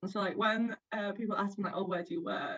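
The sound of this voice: A woman speaks at a fairly quick pace and a medium pitch, her fairly bright tone carrying a slightly husky edge and ordinary pitch variation.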